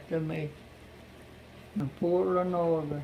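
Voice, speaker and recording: A man with an Appalachian accent speaks very slowly in a high, flat monotone over noticeable background noise. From southern West Virginia. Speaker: Civilian Conservation Corps veteran. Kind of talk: interview answer. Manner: folksy, plain-spoken.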